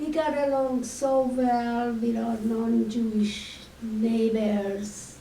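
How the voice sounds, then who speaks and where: A woman's fairly high voice in a Hungarian accent at a very slow pace, with fairly even intonation, audible room echo and noticeable background noise. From Hungary. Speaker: Holocaust survivor speaker. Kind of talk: testimony.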